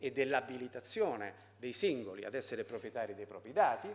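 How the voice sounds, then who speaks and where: This man's intonation is lively. He speaks at a moderate pace. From Italy. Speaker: foundation president. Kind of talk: conference talk. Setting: seminar with audience. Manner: halting, many fillers.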